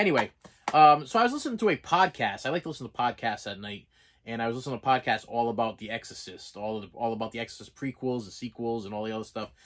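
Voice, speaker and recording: Against a quiet background, a man with a Boston accent speaks at a very fast pace and a medium pitch, with ordinary pitch variation and big swings in loudness. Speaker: collectibles vlogger. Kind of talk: casual vlog. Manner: halting, repeats words.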